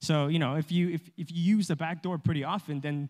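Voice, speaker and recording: A man with an American accent talks at a fairly high pitch with ordinary variation, against a quiet background. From Los Angeles, US. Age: 20s. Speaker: video game developer; guest. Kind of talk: church talk presentation. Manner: casual, hesitant with fillers. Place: church.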